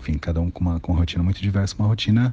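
Ordinary pitch variation marks this man's speech. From São Paulo, east zone (Guaianases). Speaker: actor, director and circus artist. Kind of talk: interview, personal career story.

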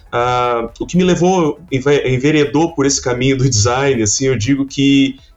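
A man's fairly high voice at a fairly slow pace, very even in loudness, with music in the background. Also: ordinary pitch variation, hardly any pauses. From Santa Catarina, Brazil (Criciúma). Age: 30s. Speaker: design professor. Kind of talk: casual interview.

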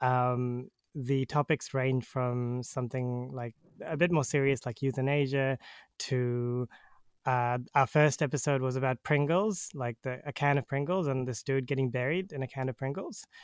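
A man with a New Zealand accent speaks at a moderate pace and medium pitch, his intonation fairly even, in a dry, close sound with no echo. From New Zealand, Auckland. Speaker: podcast host. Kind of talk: casual chat. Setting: remote call.

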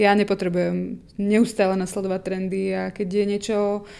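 A woman with a Slovak accent speaks at a moderate pace in a medium pitch, her dark, mellow tone held to a monotone, flat intonation on a very clean recording with a silent background. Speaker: online magazine co-founder. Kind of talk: documentary interview.

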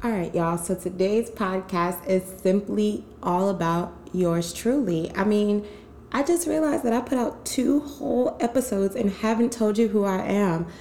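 A woman with a medium pitch speaks at a moderate pace in a lively intonation over noticeable background noise. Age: 20s. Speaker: podcast host. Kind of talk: casual chat. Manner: animated.

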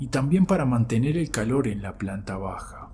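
Music plays in the background as a man speaks. His pitch is medium and his pace fairly slow. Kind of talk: scary story telling, first-person account of a wolf sighting. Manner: slow, tense, hushed suspense with emphatic repetition; earnest, insistent, building dread.

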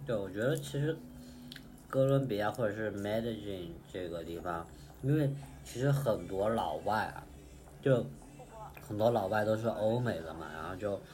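Against noticeable background noise and audible room echo, a man speaks at a fairly slow pace. His pitch is fairly low, and his intonation is lively. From Chengdu, Sichuan. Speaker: data analyst traveling. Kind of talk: casual chat.

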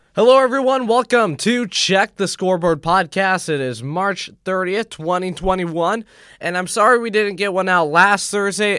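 A raised, projected voice with a bright, sharp tone moves at a moderate pace with ordinary pitch variation. The recording is very clean with a silent background, and there are hardly any pauses. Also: man, high pitch for a man. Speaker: sports podcast host. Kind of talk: casual sports talk. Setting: studio.

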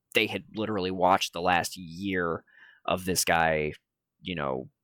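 In an American accent, a man speaks with a very deep, low pitch, a bright, sharp tone, vocal fry and fairly even intonation, on a very clean recording with a silent background. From Michigan. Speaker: independent wrestler. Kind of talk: casual interview. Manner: hesitant, many fillers.

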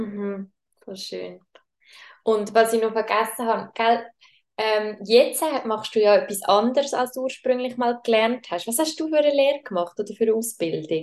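A woman talks in a normal speaking voice, fairly high in pitch. Her pace is moderate and her pitch varies in an ordinary way. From Switzerland. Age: 20s. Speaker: podcast host. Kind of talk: casual chat.

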